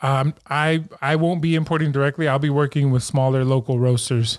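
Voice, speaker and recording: At a moderate pace, a man talks in a normal speaking voice, pitched fairly high, with fairly even intonation. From San Francisco, California. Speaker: coffee shop owner. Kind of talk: casual chat.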